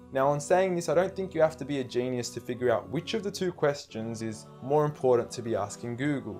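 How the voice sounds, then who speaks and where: Over music in the background, a man at a medium pitch talks at a fairly quick pace with lively intonation and hardly any pauses. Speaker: spoken word performer. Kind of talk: spoken word poetry performance, persuasive religious talk.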